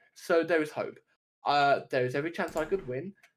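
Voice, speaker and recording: A high-pitched man with a London accent, at a moderate pace. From UK. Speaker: podcast co-host, gamer/streamer. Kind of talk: casual chat. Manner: halting, repetitive stammers.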